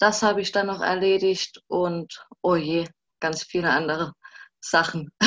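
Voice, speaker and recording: A woman with an ordinary speaking voice speaks at a fairly low pitch. Her pace is fairly slow and her intonation fairly even. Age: 20s. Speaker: social work student and former intern. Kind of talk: casual interview. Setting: video call.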